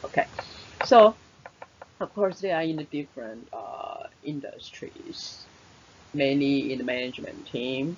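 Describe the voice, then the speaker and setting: A speaker with a Taiwanese accent talks at a fairly slow pace, with big swings in loudness, long and frequent pauses, and noticeable background noise. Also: woman. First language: Mandarin Chinese. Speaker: English teacher. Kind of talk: webinar presentation. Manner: halting, many fillers.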